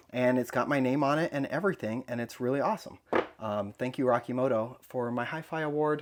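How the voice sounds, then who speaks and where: At a fairly quick pace, a man with a normal speaking voice talks at medium pitch with ordinary pitch variation. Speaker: toy collector YouTuber. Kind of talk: casual vlog room tour.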